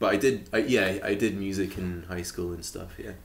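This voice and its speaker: A man's fairly low voice with ordinary pitch variation and audible room echo. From Shetland, Scotland. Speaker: musician and arts worker. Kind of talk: casual chat. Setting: podcast interview. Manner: hesitant, many fillers.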